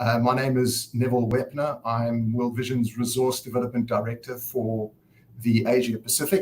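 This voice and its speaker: A man with a South African accent speaks in a somewhat breathy, medium-pitched voice, monotone and flat, at a moderate pace with very even loudness. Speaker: nonprofit director opening a summit. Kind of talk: conference opening speech.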